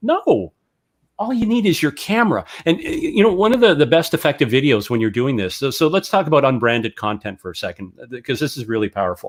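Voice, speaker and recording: Using vocal fry, a man with a fairly high pitch speaks at a very fast pace with very wide pitch swings. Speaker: real estate broker and video coach. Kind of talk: webinar interview. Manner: animated.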